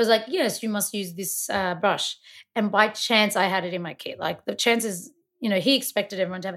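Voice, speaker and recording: Speaking fairly quickly, a woman talks with an Australian accent. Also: medium pitch for a woman, ordinary pitch variation, very clean recording, silent background. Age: 30s. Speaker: makeup artist. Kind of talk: casual chat.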